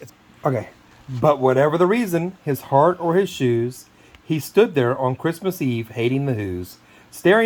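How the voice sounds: Lively intonation colors a natural reading voice.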